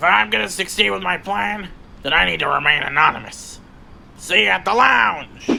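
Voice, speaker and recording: Over clear background noise, a man uses a put-on character voice pitched high for a man, moving at a moderate pace. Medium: machinima. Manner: smug, commanding.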